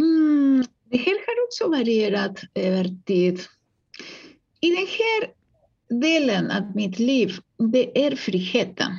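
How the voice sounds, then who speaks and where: Her voice high-pitched and swinging very widely, a woman with a Spanish accent speaks at a very slow pace with very even loudness and long, frequent pauses. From Uruguay. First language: Spanish (speaking Swedish). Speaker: psychologist and author. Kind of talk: interview.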